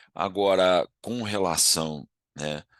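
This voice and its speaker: A man's voice with a bright, sharp tone and a dry, close sound with no echo. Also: quiet background. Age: 60s. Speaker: agribusiness consultant. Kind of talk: casual monologue to camera. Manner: informal, conversational.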